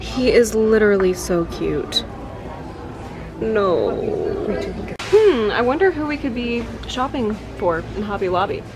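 A woman's speech broken by long, frequent pauses, with music in the background. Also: fairly slow pace. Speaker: vlogger. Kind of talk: casual vlog chat. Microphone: phone near.

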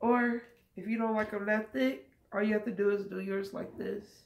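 A woman speaks at a very slow pace with ordinary pitch variation. Her voice is somewhat breathy. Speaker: cooking vlogger. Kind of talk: cooking tutorial. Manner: casual, conversational. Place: kitchen. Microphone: phone near.

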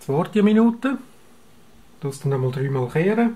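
A man speaks with a Swiss accent at a moderate pace, his intonation lively. His tone is dark and mellow and somewhat breathy. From Switzerland. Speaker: analogue photographer. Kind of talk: darkroom tutorial. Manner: casual. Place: home room. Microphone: camera far.

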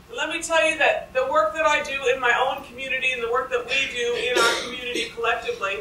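A woman speaks in a raised, projected voice at a very fast pace. The room echo is audible, with light noise in the background. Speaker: speaker. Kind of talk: lecture. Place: classroom. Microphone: podium.

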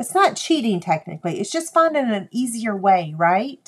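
A woman with a Southern US accent, medium in pitch and tired in tone. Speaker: crafting video host. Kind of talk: casual live stream chat. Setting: live stream video. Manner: tired, chatty.

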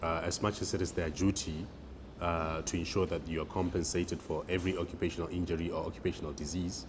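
Over noticeable background noise, a man with a very deep, low voice and a somewhat breathy sound talks at a fairly quick pace. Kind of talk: interview answer. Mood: calm explanatory. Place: office. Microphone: lapel.

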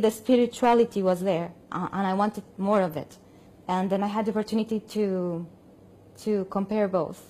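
A woman with a Spanish accent speaks at a moderate pace and medium pitch, her dark, mellow tone carrying fairly even intonation. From Colombia. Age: 40s. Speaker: opera singer. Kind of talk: testimony. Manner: halting. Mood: calm, thoughtful. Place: home room.

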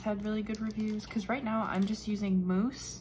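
A woman's somewhat breathy voice stays monotone and flat in intonation over light background noise. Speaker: vlogger. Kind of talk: casual vlog chat. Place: home room. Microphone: phone near.

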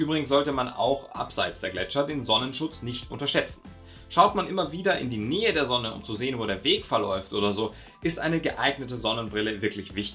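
A man at a fairly quick pace over faint background music. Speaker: mountain sports educator. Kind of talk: explainer to camera.

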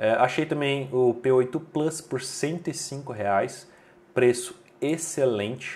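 Speaking with a Brazilian accent, a man talks at a very slow pace. His medium-pitched voice shows ordinary pitch variation. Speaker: tech reviewer and deals channel host. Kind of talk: sales pitch, promo deal rundown; video review / promo rundown. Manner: brisk, upbeat bargain-hunter pitch; opinionated, recommends with confidence.

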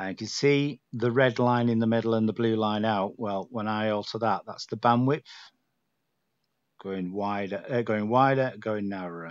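In a northern English accent, a man speaks at a moderate pace with a relaxed tone and fairly even intonation. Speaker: radio hobbyist. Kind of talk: screen-recorded software tutorial. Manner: casual, relaxed.

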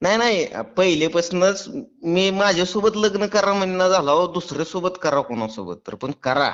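His pitch varies in an ordinary way. This man's voice is high. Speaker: prank caller, farmer YouTuber. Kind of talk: prank call. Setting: phone call from home. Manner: playing drunk, rambling.

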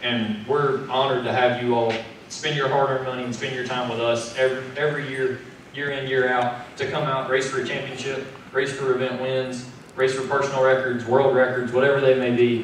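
Audible room echo and light background noise surround a man's voice. He talks at a fairly quick pace with monotone, flat intonation. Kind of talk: press conference speech. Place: meeting room.

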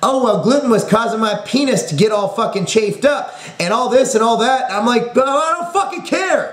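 The pitch of this voice swings very widely. The background is quiet, but the room echo is audible. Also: man. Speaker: fitness company owner and video host. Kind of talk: profane, swearing-laden angry rant to camera mocking gluten-free dieters. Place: home room. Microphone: webcam.

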